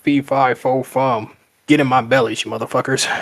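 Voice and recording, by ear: The delivery keeps a moderate pace. A put-on character voice is used. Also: man, medium pitch for a man.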